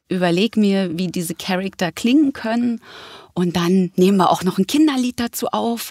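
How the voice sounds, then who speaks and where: A woman with an ordinary speaking voice and medium pitch talks at a moderate pace with ordinary pitch variation, the sound dry and close with no echo. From Berlin. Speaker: actress and voice actress. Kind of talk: casual interview.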